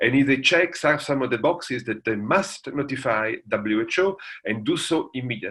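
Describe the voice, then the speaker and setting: A man speaks with an Italian accent. His tone is bright and sharp, and his intonation lively. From Italy. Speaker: international law professor. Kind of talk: lecture.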